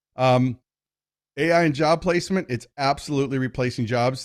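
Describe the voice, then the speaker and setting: His pitch varies in an ordinary way. This man's voice sits at a medium pitch. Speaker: keynote speaker on marketing and AI. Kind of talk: webinar presentation. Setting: webinar. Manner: fast.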